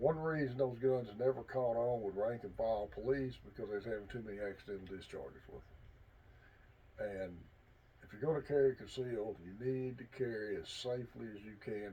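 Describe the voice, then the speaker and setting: A man with a medium-pitched, dark and mellow, somewhat breathy voice talks at a fairly quick pace, with ordinary pitch variation and big swings in loudness. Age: 60s. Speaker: hunting and firearms vlogger, army veteran. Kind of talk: casual instructional talk to camera.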